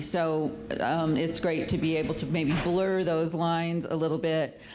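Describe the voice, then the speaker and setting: Over music in the background and audible room echo, a woman talks at a fairly low pitch. Her pace is fairly slow and her intonation monotone and flat. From South Dakota. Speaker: nonprofit executive director. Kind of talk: panel talk.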